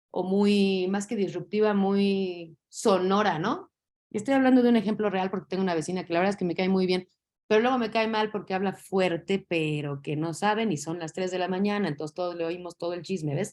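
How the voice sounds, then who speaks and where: A woman with an unremarkable speaking voice, a medium pitch, ordinary pitch variation and a fairly quick pace. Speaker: teacher. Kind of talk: lecture.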